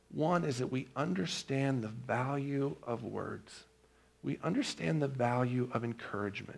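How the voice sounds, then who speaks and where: A man's normal speaking voice at medium pitch, fairly slow, with ordinary pitch variation. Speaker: pastor. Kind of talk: sermon.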